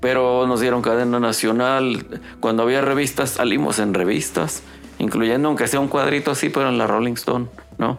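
A man with a Mexican accent at medium pitch and ordinary pitch variation, moderate pace and very even loudness, with audible room echo and music in the background. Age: 50s. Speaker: rock guitarist and songwriter. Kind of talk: casual chat. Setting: home studio.

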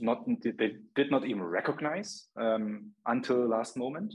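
A man speaks with a German accent. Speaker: marketing agency founder and CEO. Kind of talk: casual interview.

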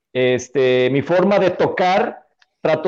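This is an ordinary speaking voice: a man with a fairly high pitch and ordinary pitch variation. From Mexico, Nayarit. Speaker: metal band drummer. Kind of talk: casual interview.

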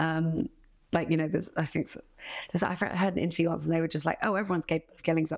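A woman's fairly low voice carries vocal fry. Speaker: actor and writer. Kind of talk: casual interview chat.

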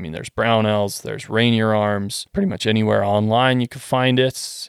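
A man with a Western Canadian accent speaks at a moderate pace with fairly low pitch and fairly even intonation, on a very clean recording with a silent background and a dry, close sound with no echo. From Western Canada. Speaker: gun and parts designer. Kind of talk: casual chat.

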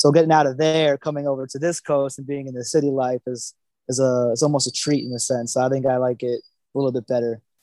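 Dry and close with no echo, a man with an American accent speaks very fast at a medium pitch, his dark, mellow tone held in a monotone, flat line. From Florida (Naples). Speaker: chef. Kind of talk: casual chat.

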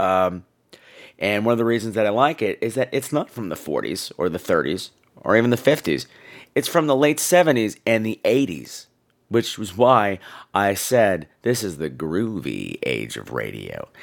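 A man speaks at a fairly slow pace in a gravelly voice with vocal fry, his pitch swinging very widely. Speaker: podcast host. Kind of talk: casual campy podcast chat. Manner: camp, playful, chatty.

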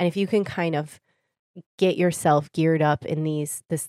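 Very deep, low female voice with a Michigan accent at a moderate pace, dry and close with no echo, on a very clean recording with a silent background. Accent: Michigan (Inland North) American. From Michigan, Detroit area (Warren). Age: 30s. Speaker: wellness practitioner. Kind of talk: casual interview.

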